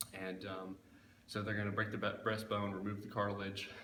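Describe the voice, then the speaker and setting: Against noticeable background noise, a man with a very deep, low pitch talks at a fairly quick pace in a monotone, flat way. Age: 20s. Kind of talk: casual talk to camera.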